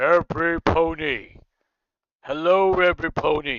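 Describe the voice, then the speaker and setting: This put-on character voice is booming and sits at a middle pitch. It moves at a fairly slow pace. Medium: read story. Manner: smooth, commanding.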